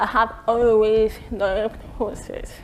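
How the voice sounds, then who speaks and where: A woman's fairly high voice comes through noticeable background noise. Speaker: speaker on deafness. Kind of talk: prepared speech.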